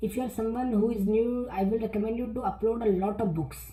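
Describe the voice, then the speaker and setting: A woman speaks at a moderate pace with fairly even intonation. Music plays in the background, and there is audible room echo. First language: not English. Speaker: self-publishing youtuber. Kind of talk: tutorial. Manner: halting, many repetitions and fillers.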